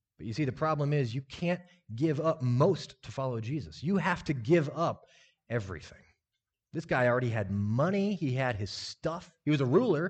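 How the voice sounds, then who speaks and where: With an American accent, a man speaks at a moderate pace over a quiet background. His voice is somewhat breathy and his intonation lively. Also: fairly high pitch for a man. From US Midwest (Lincoln, Nebraska). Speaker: lay preacher. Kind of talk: sermon. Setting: church audience. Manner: casual.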